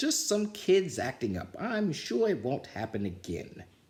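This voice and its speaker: This is a put-on character voice with a raspy sound. It moves at a moderate pace. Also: man, high pitch for a man. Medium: read story. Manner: stern, commanding.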